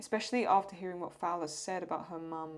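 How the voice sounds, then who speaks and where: In an English accent, a woman talks at a moderate pace. Her pitch is fairly low. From England. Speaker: YouTube reaction creator and artist. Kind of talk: casual Q&A while drawing. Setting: at home desk under a lamp. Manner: halting.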